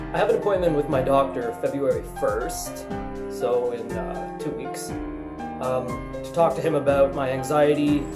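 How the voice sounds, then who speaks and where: A man talks at a moderate pace through loud background noise. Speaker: vlogger. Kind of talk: casual talk to camera. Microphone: webcam.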